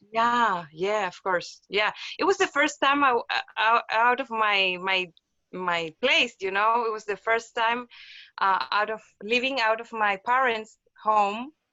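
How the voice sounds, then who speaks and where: A woman with a Spanish accent speaks fairly slowly, her fairly high pitch showing ordinary variation. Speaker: physical therapist. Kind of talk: casual interview. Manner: halting, many repetitions.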